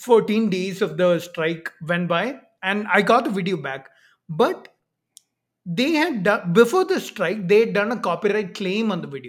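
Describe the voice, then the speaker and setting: The speaker has an Indian accent and keeps a moderate pace. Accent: Indian English, fairly clear. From Kerala, India. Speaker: YouTuber debunking pseudoscience. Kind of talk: casual conversational interview. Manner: hesitant, filler-heavy.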